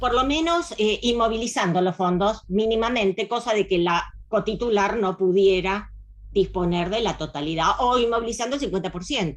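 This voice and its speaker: A woman of medium pitch speaks at a moderate pace with ordinary pitch variation in a plain, everyday voice. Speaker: lawyer giving a talk. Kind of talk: lecture with Q&A.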